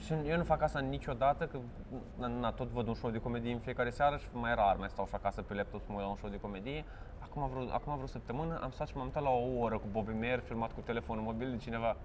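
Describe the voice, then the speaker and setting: A man's medium-pitched voice at a very fast pace. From Romania, Vaslui (Moldavia region). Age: 30s. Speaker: stand-up comedian. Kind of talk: casual interview.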